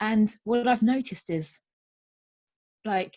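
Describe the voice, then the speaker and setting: Somewhat breathy, a woman talks fairly slowly, her pitch varying in an ordinary way. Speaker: transformational coach. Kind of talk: interview answer. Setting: lives in London, UK.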